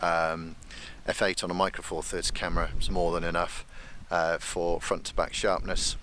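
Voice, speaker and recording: Soft-spoken male speech with a British accent at a moderate pace. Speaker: landscape photographer vlogger. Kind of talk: outdoor vlog with technical explanation. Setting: outdoors on a hill. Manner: quiet, soft-spoken; hesitant, many fillers.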